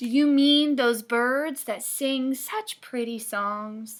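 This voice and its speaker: A woman uses a loud, high-pitched, put-on character voice at a very slow pace. The recording is very clean, with a silent background. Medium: read story. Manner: loud, hearty.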